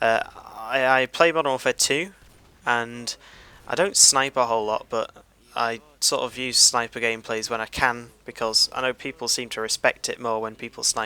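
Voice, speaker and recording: In a British accent, a man talks at a moderate pace and medium pitch, his tone bright and sharp, his intonation fairly even, and the sound dry and close with no echo. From Great Britain. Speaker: gaming commentator. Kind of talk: gameplay commentary. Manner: laid-back; halting.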